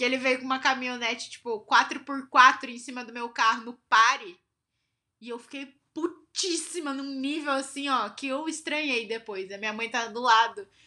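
A woman's high voice is raised and projected, with a bright, sharp tone. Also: ordinary pitch variation, moderate pace, big swings in loudness. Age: 20s. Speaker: podcast co-host. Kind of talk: casual chat.

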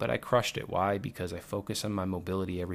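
On a very clean recording with a silent background, a man speaks at a fairly quick pace in a very deep, low pitch. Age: 30s. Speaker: fitness podcast host, former football player. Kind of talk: solo podcast monologue. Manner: casual, energetic and rambling.

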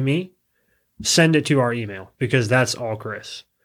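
On a very clean recording with a silent background, a man speaks at a moderate pace in a plain, everyday voice with ordinary pitch variation. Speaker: podcast co-host. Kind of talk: casual chat.

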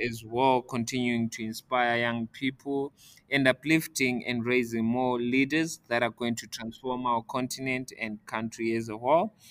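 Dry, close sound with no echo from a man at medium pitch, fairly slow, with monotone, flat intonation. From Zimbabwe, Bulawayo. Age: young. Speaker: author and facilitator. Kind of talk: interview. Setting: studio.

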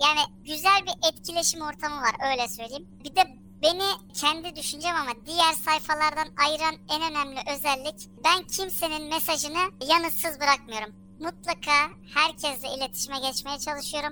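A woman's raised, projected voice, high-pitched and bright and sharp in tone, runs on with hardly any pauses. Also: ordinary pitch variation, moderate pace. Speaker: anonymous social media humor account owner, office worker. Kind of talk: casual interview chat.

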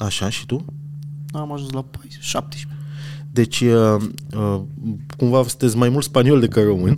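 Long, frequent pauses and ordinary pitch variation over noticeable background noise. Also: man, medium pitch for a man, fairly slow pace, big swings in loudness. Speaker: podcast host. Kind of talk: casual chat. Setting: restaurant.

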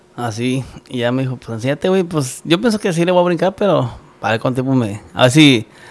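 A man with a normal speaking voice talks at a fairly quick pace. His pitch is medium and his intonation lively. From Michoacán, Mexico. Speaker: musician. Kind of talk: casual chat.

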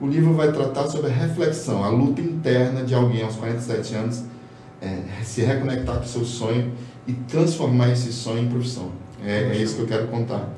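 Music plays in the background, and audible room echo fills the space. A man speaks with ordinary pitch variation. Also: medium pitch for a man, moderate pace. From Boa Vista, Roraima, northern Brazil. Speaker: comic artist. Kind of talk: casual interview. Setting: studio.

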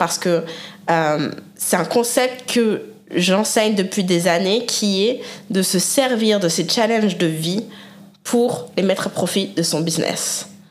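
A woman's medium-pitched voice with very even loudness, ordinary pitch variation and audible room echo. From France. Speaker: online business coach. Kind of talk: solo podcast monologue. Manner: animated.

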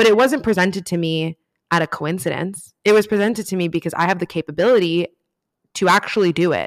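Recorded very cleanly against a silent background with a dry, close sound and no echo, a woman with an American accent and a medium pitch talks at a very fast pace in an animated tone with ordinary pitch variation. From Miami, Florida. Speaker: writer and podcast host. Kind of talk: casual chat.

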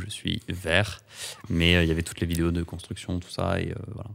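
Monotone, flat intonation in a man's very deep, low voice. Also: very clean recording, silent background. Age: 20s. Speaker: photographer. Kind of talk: interview conversation. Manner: hesitant with fillers.

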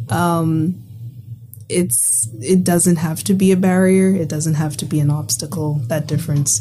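Noticeable background noise sits under a woman's very deep, low voice. She talks at a fairly slow pace with ordinary pitch variation. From Bahamas. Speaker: university student. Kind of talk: casual conversation. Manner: animated, filler-heavy.

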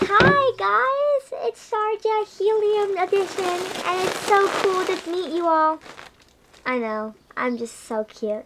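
In a squeaky put-on character voice, the speaker goes at a fairly slow pace with very wide pitch swings. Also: woman, extremely high pitch for a woman. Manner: cutesy, bubbly.

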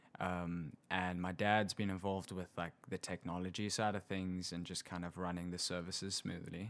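Here is a man with a South African accent and a very deep, low pitch. He keeps a moderate pace with monotone, flat intonation. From South Africa, Hillcrest near Pietermaritzburg. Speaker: guest, South African visiting the US. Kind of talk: casual interview conversation.

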